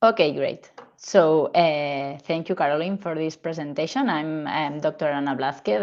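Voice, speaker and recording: A woman's very deep, low voice at a moderate pace, with a Spanish accent. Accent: Spanish-accented English, non-native. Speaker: gynecologist, fertility specialist. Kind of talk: medical lecture presentation.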